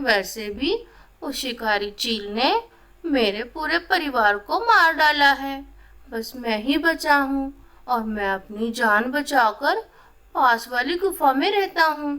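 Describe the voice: A female-sounding cartoonish character voice, high-pitched. It moves at a fairly slow pace.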